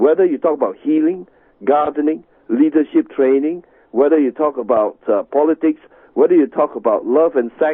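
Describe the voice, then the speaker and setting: A man's plain, everyday voice, fairly high in pitch, with ordinary pitch variation, very even loudness and a moderate pace. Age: 60s. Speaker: tai chi master. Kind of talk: radio interview. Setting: radio show.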